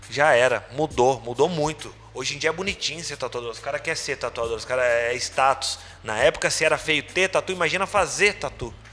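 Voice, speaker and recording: Over noticeable background noise, a man with a fairly high pitch talks at a fairly quick pace with ordinary pitch variation. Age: 30s. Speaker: tattoo artist and convention organizer. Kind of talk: casual chat. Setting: tattoo studio.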